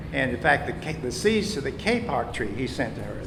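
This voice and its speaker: With an American accent, a man speaks at a fairly quick pace amid noticeable background noise and audible room echo. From US South. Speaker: local resident sharing history. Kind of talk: storytelling to live audience. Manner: halting.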